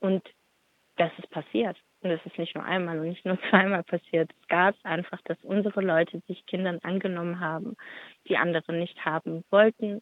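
Using an unremarkable speaking voice, a woman with a fairly low pitch speaks at a moderate pace with fairly even intonation. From Stuttgart, Germany. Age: 30s. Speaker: activist. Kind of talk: interview. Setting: phone call. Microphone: phone line that drops out at times.

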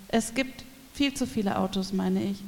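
At a moderate pace, a woman uses an ordinary speaking voice with ordinary pitch variation. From Berlin. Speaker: cultural educator. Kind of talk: reading aloud.

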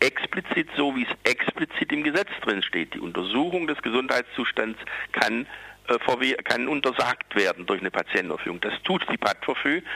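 Noticeable background noise surrounds a man whose pitch is medium but swings very widely. He keeps a moderate pace, and the sound is dry and close with no echo. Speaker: activist for psychiatric survivors. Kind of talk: protest speech, campaigning against forced psychiatry. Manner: urgent, combative, insistent; hesitant, with many fillers.

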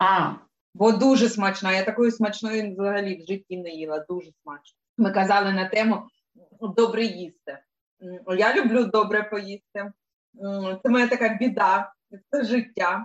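Speaking at a fairly slow pace with long, frequent pauses, a woman uses a medium pitch. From Donetsk, eastern Ukraine. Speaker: animal rights activist, sound technician. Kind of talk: casual chat. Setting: video call.

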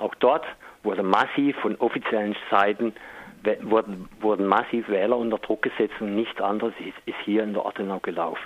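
This man's voice sits at a fairly low pitch. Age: 50s. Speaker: local politician and activist. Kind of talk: interview.

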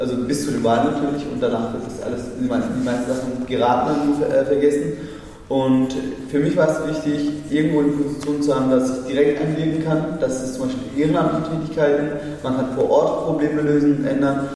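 A man with a fairly high voice and fairly even intonation is heard amid noticeable background noise and audible room echo. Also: fairly quick pace. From Germany (Freiburg), came from Turkey at age five. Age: 20s. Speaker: youth leader of a religious community. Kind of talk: panel discussion.

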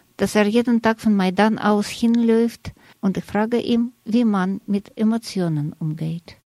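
A woman speaks at a fairly slow pace in a fairly high voice with a dark, mellow tone and ordinary pitch variation. The recording is very clean, with a silent background and a dry, close sound with no echo. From Russia. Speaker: radio journalist. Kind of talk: scripted narration.

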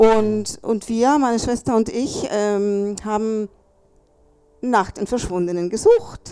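At a very slow pace, a woman talks with fairly even intonation and a medium pitch. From Chile. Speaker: contemporary witness. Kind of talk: panel talk. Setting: café event with audience.

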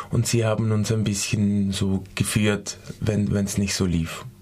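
Noticeable background noise sits behind a man's voice. He speaks at a fairly low pitch with fairly even intonation. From Switzerland. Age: 20s. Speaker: dance student. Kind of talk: radio interview. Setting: studio. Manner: halting.

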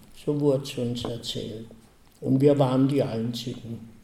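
With audible room echo, a man speaks slowly in a dark, mellow tone with fairly even intonation. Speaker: Holocaust survivor and eyewitness speaker. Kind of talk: testimony.

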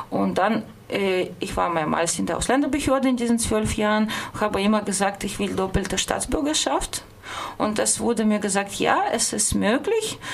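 A woman with a fairly high voice talks at a medium rate, her pitch shifting normally, while noticeable noise carries on behind her. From Russia, St. Petersburg. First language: Russian (speaking German). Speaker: radio host. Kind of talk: personal account on radio. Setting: studio.

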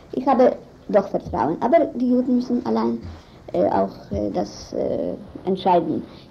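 A woman with a non-native accent speaks at a fairly slow pace, leaving long, frequent pauses. Noticeable background noise runs underneath. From Israel. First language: not German (speaking German). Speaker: lawyer and human rights activist. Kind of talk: interview. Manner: halting.

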